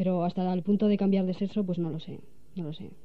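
A woman talks very fast. Her intonation is monotone and flat. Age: 20s. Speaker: director of a media outlet. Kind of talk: radio interview. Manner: halting.

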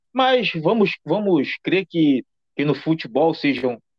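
This man talks at a very slow pace in a fairly high pitch, his intonation lively. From Rio de Janeiro suburbs, Brazil. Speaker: podcast host. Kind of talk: podcast interview. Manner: halting, frequent repetitions.

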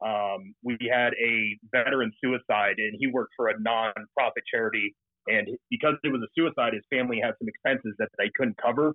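An unremarkable speaking voice from a man with an American accent, medium pitch, ordinary pitch variation and a fairly quick pace. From Colorado (Fort Collins). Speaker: Marine Corps and police veteran, business founder. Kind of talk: casual interview chat.

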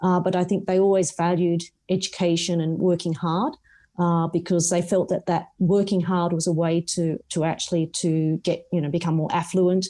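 In an Australian accent, a woman speaks at a moderate pace with a fairly low pitch, a dark and mellow tone and monotone, flat intonation against a quiet background. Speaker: non-executive director. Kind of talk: interview. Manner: hesitant, filler-heavy.

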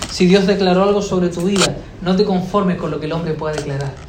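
A man speaks at a fairly quick pace in a high pitch with fairly even intonation, with audible room echo and noticeable background noise. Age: 30s. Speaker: pastor. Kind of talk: sermon. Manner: halting, repeats words.

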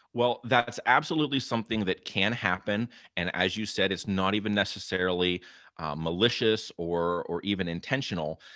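A man speaks with an American accent at a fairly low pitch, in a normal speaking voice. His pitch varies in an ordinary way. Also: moderate pace. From Western Pennsylvania. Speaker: college instructor. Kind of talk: interview advice.

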